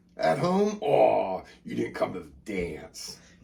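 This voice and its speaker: Using a put-on character voice, a man talks fairly slowly. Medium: actual play. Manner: teasing, boisterous.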